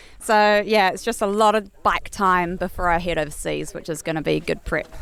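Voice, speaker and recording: This woman speaks with a New Zealand accent at a medium pitch. Her pace is moderate and her intonation fairly even. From New Zealand, Nelson area. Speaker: pro enduro mountain biker. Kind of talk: casual interview.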